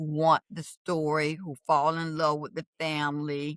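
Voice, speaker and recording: A woman is speaking. Her pitch sits fairly low for a woman. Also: dry, close sound with no echo. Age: 70s. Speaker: romance novelist. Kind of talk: podcast interview.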